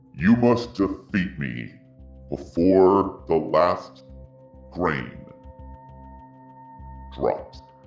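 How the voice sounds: With faint music in the background, a man puts on a booming character voice, very deep and low, speaking very slowly with long, frequent pauses.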